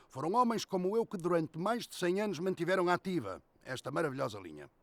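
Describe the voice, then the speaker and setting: Using lively intonation, a man talks at a fairly quick pace with a high pitch. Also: dry, close sound with no echo. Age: 60s. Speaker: retired railway station master. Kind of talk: testimony.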